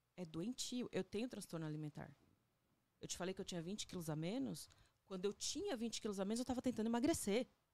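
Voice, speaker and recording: A woman's medium-pitched, dark, mellow voice at a very fast pace, with lively intonation. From Agreste of Pernambuco, Brazil. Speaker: photographer and visual artist. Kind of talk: casual interview. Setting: studio.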